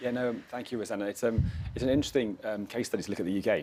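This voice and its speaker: With a British accent, a man speaks very fast with ordinary pitch variation. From UK. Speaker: climate finance expert. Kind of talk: panel discussion. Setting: live event at climate conference. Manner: hesitant, many fillers.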